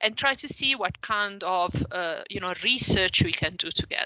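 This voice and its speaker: A woman speaks at a medium pitch in an Italian accent, with lively intonation. Her pace is moderate, and there is noticeable background noise. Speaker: professor. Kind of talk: lecture. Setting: video call. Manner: halting.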